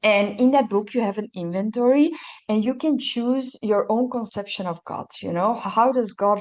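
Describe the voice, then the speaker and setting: With a Dutch accent, a woman talks at a moderate pace against a quiet background. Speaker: recovery testimony speaker. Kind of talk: testimony. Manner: halting.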